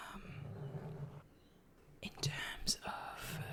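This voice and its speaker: Someone whispers over noticeable background noise. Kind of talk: casual talk to camera, ASMR-style chat update. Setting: at a computer in a home.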